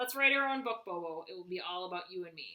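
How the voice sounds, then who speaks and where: Rattling along at a very fast pace, a woman does a put-on character voice at a medium pitch. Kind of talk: child-like, playful. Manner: funny, exaggerated.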